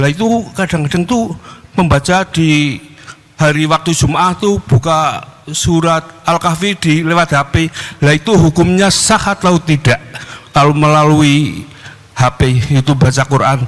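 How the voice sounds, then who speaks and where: Speaking fairly slowly, a man uses a fairly high pitch and long, frequent pauses. His loudness stays very even against noticeable background noise. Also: ordinary pitch variation. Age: 60s. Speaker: caller asking a religious question. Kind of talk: question to a preacher in a Q&A.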